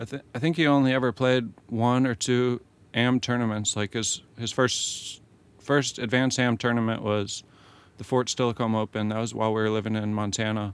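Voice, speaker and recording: Quietly and at a fairly quick pace, a man with an American accent talks at medium pitch with fairly even intonation. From US, military family moving around. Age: 30s. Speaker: professional disc golfer. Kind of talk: interview. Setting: van studio. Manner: quiet, unassuming; halting with repeated words.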